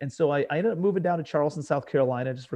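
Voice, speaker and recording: A man with an American accent at a very fast pace, with ordinary pitch variation. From US Midwest, suburbs of Cleveland, Ohio. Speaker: real estate investor. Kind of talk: podcast interview. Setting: studio.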